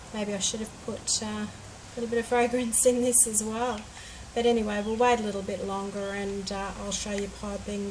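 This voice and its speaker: A woman's medium-pitched, monotone voice at a fairly quick pace, with audible room echo and noticeable background noise. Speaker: home soap maker. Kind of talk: tutorial-style craft demonstration. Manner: hesitant, with many fillers.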